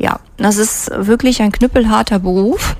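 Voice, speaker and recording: Noticeable background noise sits under the voice. The intonation is monotone and flat. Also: woman. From Germany, near Trier (Rhineland-Palatinate). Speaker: physician. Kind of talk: radio interview. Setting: radio studio.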